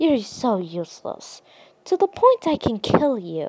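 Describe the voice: A woman's put-on character voice, fairly high in pitch with big pitch swings, a dark, mellow tone and a slightly husky edge, delivered at a fairly slow pace.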